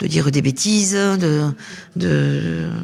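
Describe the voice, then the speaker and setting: A woman's voice with ordinary pitch variation. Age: 60s. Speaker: interviewee at a seniors' fair. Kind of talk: podcast interview. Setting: temporary studio at a seniors' fair. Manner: hesitant, many fillers.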